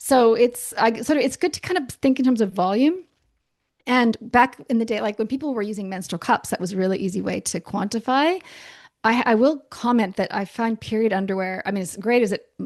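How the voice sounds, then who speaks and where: A fairly high-pitched female voice comes through over a quiet background. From Canada. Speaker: naturopathic doctor. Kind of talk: podcast interview. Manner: hesitant, many restarts.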